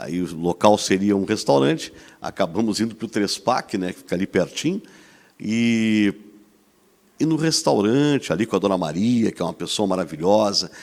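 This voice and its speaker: Using lively intonation, a man speaks at a fairly low pitch. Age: 60s. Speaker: TV host. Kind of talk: talk show discussion. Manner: animated.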